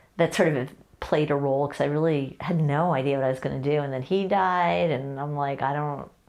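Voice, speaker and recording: A woman speaks at a fairly quick pace with a very deep, low pitch. Her pitch varies in an ordinary way against a quiet background. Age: 60s. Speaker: lawyer and guest parent on family podcast. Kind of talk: casual interview chat.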